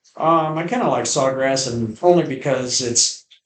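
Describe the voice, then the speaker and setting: A man with a normal speaking voice, medium pitch and an American accent, at a moderate pace. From Phoenix, Arizona. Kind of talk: interview answer.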